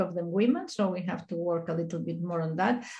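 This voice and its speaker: Somewhat breathy and dark, mellow in tone, a woman's voice moves at a fairly quick pace. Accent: Spanish. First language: Spanish. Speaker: statistician. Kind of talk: conference presentation. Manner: fast.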